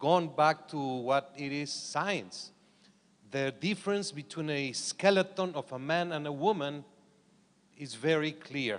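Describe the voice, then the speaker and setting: This is a man's voice. It sits fairly high in pitch, with ordinary pitch variation. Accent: non-native. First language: not English. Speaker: boxing organization official. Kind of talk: conference panel discussion. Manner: halting.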